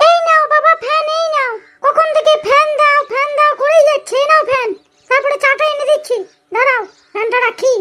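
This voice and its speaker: A squeaky, cartoonish character voice from a woman, extremely high in pitch, at a moderate pace. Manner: sharp, scolding.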